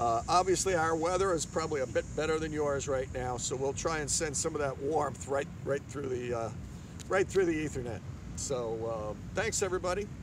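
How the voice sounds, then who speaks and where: A man talks at a moderate pace, the sound dry with no echo but with noticeable background noise. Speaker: yoga teacher. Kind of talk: yoga class instruction. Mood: cheerful, relaxed, calm. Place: beach.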